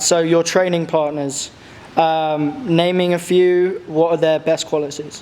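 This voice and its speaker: A man with a high pitch talks at a fairly slow pace, keeping fairly even intonation and very even loudness over noticeable background noise. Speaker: interviewer. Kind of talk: interview.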